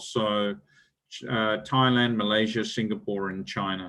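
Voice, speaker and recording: A man speaks with an Australian accent. He goes at a fairly slow pace. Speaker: business executive. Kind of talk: lecture. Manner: halting, many fillers.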